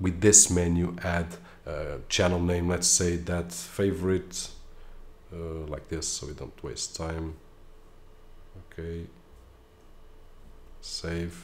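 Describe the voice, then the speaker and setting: In a room with audible echo, a man speaks at a very deep, low pitch and a very slow pace. His delivery is monotone and flat, with long, frequent pauses. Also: big swings in loudness. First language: Portuguese. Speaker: tech reviewer. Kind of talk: tutorial. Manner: casual, with filler hesitations.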